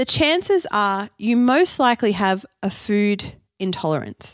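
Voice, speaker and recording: Someone with an Australian accent speaks at a very slow pace. The recording is very clean, with a silent background. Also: woman, dry, close sound with no echo. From Australia (Canberra). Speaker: nutritionist and podcast host. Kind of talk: solo educational podcast.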